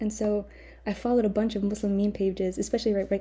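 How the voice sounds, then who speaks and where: Very fast and monotone, a woman speaks at medium pitch in a dark, mellow, somewhat breathy tone with flat intonation. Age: young. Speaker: podcast host. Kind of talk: casual monologue. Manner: frequent laughter.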